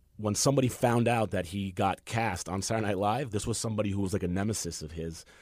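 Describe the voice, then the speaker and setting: In a New York accent, a man talks at a very fast pace with fairly low pitch and ordinary pitch variation. The recording is very clean, with a silent background. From New York, Queens. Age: 40s. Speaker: comedian and actor. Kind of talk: casual chat.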